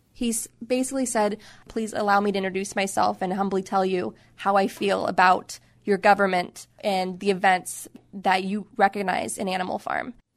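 A woman with an unremarkable speaking voice, medium-pitched, moderately paced, her intonation fairly even. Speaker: author. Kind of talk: interview.

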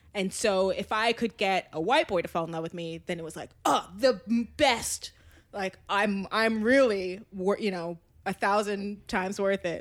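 A woman's ordinary speaking voice with ordinary pitch variation. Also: medium pitch for a woman, fairly slow pace. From Maryland. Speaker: podcast guest. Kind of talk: casual chat. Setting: apartment.

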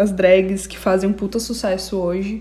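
Noticeable background noise fills the recording. A woman talks through it at a moderate pace. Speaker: podcast co-host. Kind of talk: casual chat.

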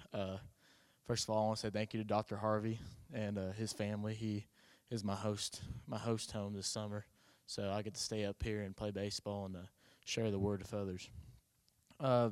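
Flat, monotone speech from a man with fairly low pitch at a moderate pace, on a very clean recording with a silent background. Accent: Oklahoma. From Oklahoma. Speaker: college baseball player. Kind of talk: testimony. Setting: church.

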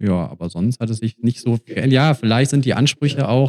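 A plain, everyday voice moves at a moderate pace with ordinary pitch variation and a dry, close sound with no echo. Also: man. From Germany, Mülheim. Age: 30s. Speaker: traveler. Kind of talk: casual chat. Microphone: poor audio from a recording setting error.

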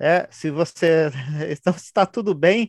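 A man with a high pitch and ordinary pitch variation is heard in a dry, close sound with no echo against a quiet background. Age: 40s. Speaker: writer and anthology editor. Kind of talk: casual interview. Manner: halting, many fillers and repetitions.

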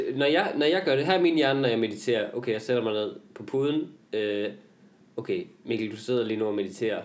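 With lively intonation and a medium pitch, a man speaks at a fairly quick pace. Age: 20s. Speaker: comedian and podcast host. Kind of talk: casual chat. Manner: halting, many filler words.

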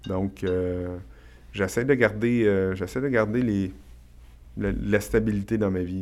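Speaking very slowly in a Quebec accent, a man has a fairly low pitch. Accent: Québécois French. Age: 40s. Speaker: real estate investor and entrepreneur. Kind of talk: podcast interview. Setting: studio.

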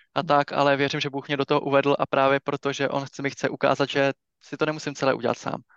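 Fairly quick and fairly high-pitched, a man delivers his lines. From Czech Republic, Liberec. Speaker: church ministry leader and bank employee. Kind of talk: casual interview about faith.

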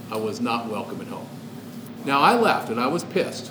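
Over noticeable background noise, a man talks at a fairly quick pace with fairly even intonation. Room echo is audible. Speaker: podcast guest. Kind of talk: casual chat.

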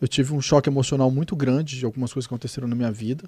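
A man is speaking here. His voice is fairly high and somewhat breathy. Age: 40s. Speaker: paranormal researcher. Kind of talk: interview answers in live panel. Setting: studio live with audience.

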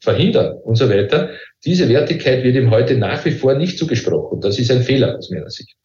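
A man at a moderate pace, with audible room echo. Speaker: professor. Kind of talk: interview.

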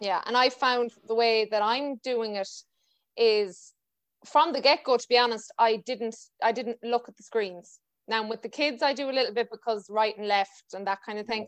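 A woman's fairly high voice at a moderate pace, with ordinary pitch variation, a dry, close sound with no echo, and a quiet background. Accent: western Irish. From Ireland. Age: 20s. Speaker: podcast host and dance teacher. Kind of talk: casual interview chat.

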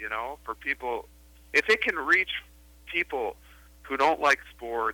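A man with a Chicago accent, fairly high-pitched and fairly slow, with lively intonation and a dry, close sound free of echo. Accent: Chicago American. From US Midwest, Chicago. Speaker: film director. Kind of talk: interview. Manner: halting, with frequent repetitions.

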